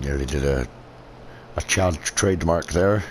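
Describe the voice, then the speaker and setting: A man's very deep, low voice in a Scottish accent, fairly slow, with ordinary pitch variation and noticeable background noise. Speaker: gaming video creator. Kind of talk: gameplay commentary. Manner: relaxed, rambling.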